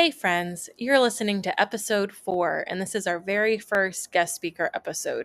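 A woman has a plain, everyday voice at medium pitch, speaking at a moderate pace with ordinary pitch variation. The recording is very clean with a silent background and a dry, close sound with no echo. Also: hardly any pauses. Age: 30s. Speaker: podcast host and groomer. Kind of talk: scripted podcast intro.

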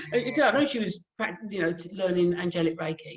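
In a southern English accent, a woman speaks at a medium pitch with very wide pitch swings. Her voice is somewhat breathy. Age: 60s. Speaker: hypnotherapist and life coach. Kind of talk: casual interview.

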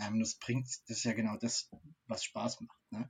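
With a plain, everyday voice, a man holds a medium pitch and a moderate pace, his pitch varying in an ordinary way. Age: 30s. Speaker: streaming show co-host. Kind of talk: casual chat.

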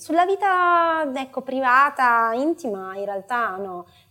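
Very wide pitch swings run through fairly slow speech on a very clean recording with a silent background. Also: woman. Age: 30s. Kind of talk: interview.

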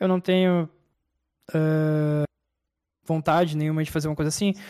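On a very clean recording with a silent background and a dry, close sound with no echo, a man speaks with fairly even intonation. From Brazil. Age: 30s. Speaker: professional gamer. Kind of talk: interview. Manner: casual, slangy.

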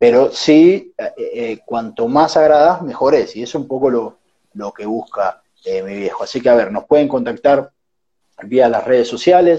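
With a dark, mellow tone and a fairly high pitch, a man speaks at a fairly slow pace, using lively intonation and big swings in loudness. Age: 20s. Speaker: entrepreneur. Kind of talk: casual interview.

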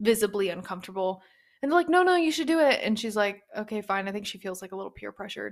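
A medium-pitched woman's voice in an American accent, animated in tone and lively in intonation. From East Texas. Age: 20s. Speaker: book podcast host. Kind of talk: casual solo monologue.

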